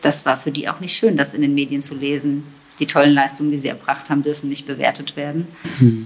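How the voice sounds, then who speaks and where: In a very deep, low pitch, a woman talks very fast with fairly even intonation. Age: 40s. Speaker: teacher and mother. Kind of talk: casual interview.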